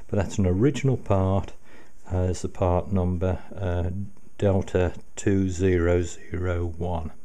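In a dark, mellow tone, a man with a very deep, low pitch speaks at a fairly slow pace with fairly even intonation. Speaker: radio restoration hobbyist. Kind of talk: casual tutorial commentary. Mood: pleased, grateful. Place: home room.

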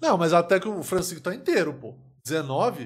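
A man speaks at a moderate pace in a high voice, recorded very cleanly against a silent background. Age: 30s. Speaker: comedian. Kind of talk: live stream reaction commentary. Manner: animated.

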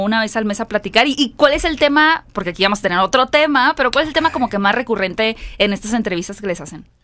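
A woman talks at a very fast pace in a fairly high, bright, sharp voice with an animated tone and lively intonation. The background is quiet. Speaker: film podcast host. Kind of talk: casual chat. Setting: studio. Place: studio. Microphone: studio mic.

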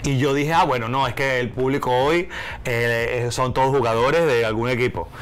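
A man with a Venezuelan accent speaks with lively intonation. Light background noise can be heard. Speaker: stand-up comedian. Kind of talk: interview answer. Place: studio. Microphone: lapel.

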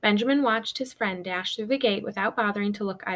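The speaker reads aloud in a plain way. Pitch rises and falls an ordinary amount.

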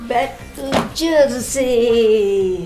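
Over clear background music, a woman speaks with a fairly high pitch and lively intonation. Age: old. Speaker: grandmother reading posts aloud. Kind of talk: reading tweets aloud. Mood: deadpan, slightly bemused. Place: home room.

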